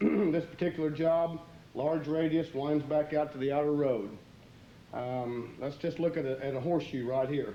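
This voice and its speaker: With fairly even intonation, a man speaks at a fairly high pitch. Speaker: concrete contractor instructor. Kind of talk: instructional training video. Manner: fast.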